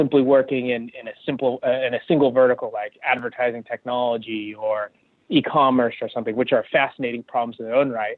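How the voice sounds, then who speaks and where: Fairly quick speech in an American accent, monotone and flat, with big swings in loudness. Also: man. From US West Coast, California. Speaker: tech executive. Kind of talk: interview. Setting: phone call.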